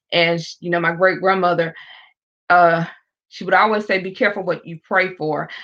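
A woman's bright, sharp voice, fairly low in pitch, with a monotone, flat intonation and a South Carolina accent over a quiet background. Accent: Southern US (South Carolina). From US South. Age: 40s. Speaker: evangelist. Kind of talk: testimony. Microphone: echo on the line.

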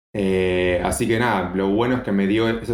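The pace stays moderate. Intonation is flat and monotone. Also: man. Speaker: biotechnologist and nutrition coach. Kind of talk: casual chat.

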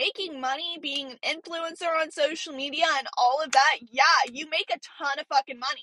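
A woman's raised, projected voice, high in pitch with ordinary pitch variation, carries an animated tone at a moderate pace in a dry, close recording with no echo. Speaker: podcast host. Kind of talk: casual chat. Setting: in a car.

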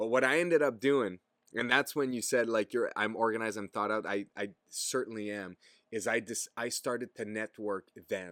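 Ordinary pitch variation at a moderate pace, in a dry, close sound with no echo on a very clean recording with a silent background. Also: man, medium pitch for a man. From Quebec, Gatineau. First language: French. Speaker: podcast host, outdoor content creator. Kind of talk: casual chat.

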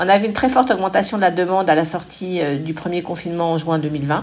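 Noticeable background noise under a woman's voice with ordinary pitch variation. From Paris, France. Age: 50s. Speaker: bike rental company executive. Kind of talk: interview. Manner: hesitant, many fillers.

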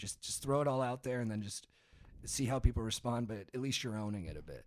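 A man with an American accent talks at a very fast pace and medium pitch, with lively intonation. The recording is very clean, with a silent background. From Orange County, California. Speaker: podcaster and comedian. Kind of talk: casual chat.

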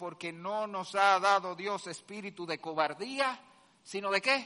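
A man speaks in an animated tone. His voice sounds bright and sharp. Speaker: pastor. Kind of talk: sermon. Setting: church. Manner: loud.

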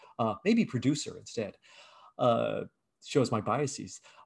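A man with an American accent speaks in a somewhat breathy voice, with very wide pitch swings. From Virginia, US, raised partly abroad. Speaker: game design professor and game studio founder. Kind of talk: interview.

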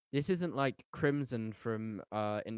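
A man with a British accent speaks at a fairly low pitch with lively intonation. The recording is very clean and dry, close with no echo and a silent background. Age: 18. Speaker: podcast host and musician. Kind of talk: casual chat.

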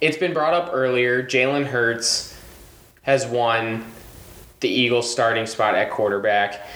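A man's medium-pitched voice with a Michigan accent, at a fairly slow pace and very even loudness. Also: ordinary pitch variation. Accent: Michigan, sounds slightly Canadian. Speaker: guest, college student. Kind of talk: casual chat.

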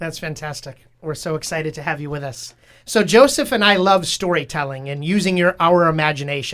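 An ordinary speaking voice talks fairly quickly. Its pitch varies in an ordinary way. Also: man, fairly high pitch for a man. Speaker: podcast host, father. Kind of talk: casual interview chat.

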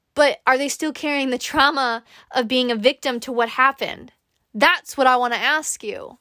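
Recorded very cleanly against a silent background, with a dry, close sound and no echo, a woman with a high pitch uses a raised, projected voice, an animated and bright, sharp tone, ordinary pitch variation and a moderate pace. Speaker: podcast host. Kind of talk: pep talk. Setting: solo recording. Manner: warm, earnest.

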